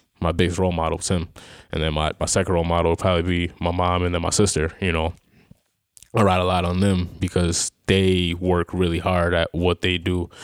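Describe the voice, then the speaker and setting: In a very clean recording with a silent background, the speaker has a western New York accent. The delivery is fairly quick and monotone, with flat intonation. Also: man, very deep, low pitch for a man. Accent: western New York (Inland North) American. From Rochester, New York (Greece). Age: 20s. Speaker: semi-pro football player and team co-owner. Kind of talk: casual chat. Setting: studio.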